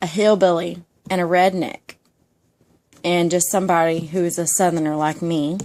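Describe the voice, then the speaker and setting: A woman speaks with a Georgia accent. Her pitch is fairly low and her pace is moderate. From Georgia (US South). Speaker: YouTuber. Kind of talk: ASMR casual monologue. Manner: soft-spoken.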